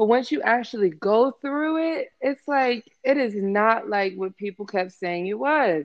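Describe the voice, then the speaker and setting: Speaking at a fairly slow pace with hardly any pauses, the voice is a plain, everyday voice with an American accent and lively intonation. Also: woman, fairly high pitch for a woman. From Maryland, US (Waldorf, St. Mary's County). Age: young. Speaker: podcast guest, former receptionist. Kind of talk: casual interview chat.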